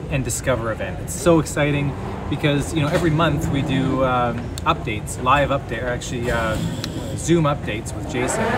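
Loud background noise surrounds a man whose fairly quick speech has ordinary pitch variation. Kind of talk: casual vlog chat. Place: station. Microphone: phone near.

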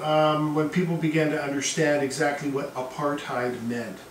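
Amid light background noise and audible room echo, a man speaks at a moderate pace. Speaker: history teacher. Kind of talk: lecture. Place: classroom.

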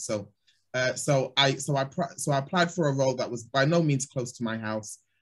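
With a London accent, a man speaks at medium pitch, somewhat breathy, with ordinary pitch variation against a quiet background. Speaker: talent development specialist; webinar panelist. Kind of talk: panel discussion. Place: office.

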